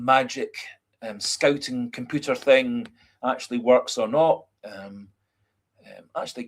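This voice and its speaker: This man speaks with a Scottish accent at a fairly slow pace. His intonation stays fairly even. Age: 50s. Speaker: football fan livestreamer. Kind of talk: casual chat. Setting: livestream. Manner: halting, many fillers.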